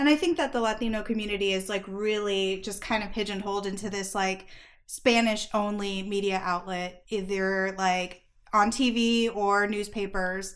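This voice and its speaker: A woman speaks in an American accent at a moderate pace. Her medium-pitched voice is an unremarkable speaking voice. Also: fairly even intonation. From Phoenix, Arizona. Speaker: podcast host. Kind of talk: casual interview chat.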